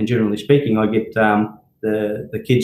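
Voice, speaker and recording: A man speaks in a somewhat breathy voice with an Australian accent. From Melbourne, Australia (from Greece at ten). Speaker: company director and brand ambassador. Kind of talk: live Q&A session. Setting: live video stream. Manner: hesitant, many fillers.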